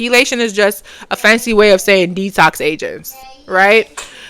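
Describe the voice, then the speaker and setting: Her Caribbean accent carries a fairly high pitch as this woman speaks at a moderate pace with fairly even intonation. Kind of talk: casual tutorial. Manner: halting, many fillers.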